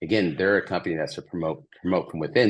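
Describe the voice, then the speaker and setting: A man with a very deep, low pitch and an American accent speaks with ordinary pitch variation over a quiet background. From Georgia, US South (Marietta). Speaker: packaging sustainability consultant. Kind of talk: interview.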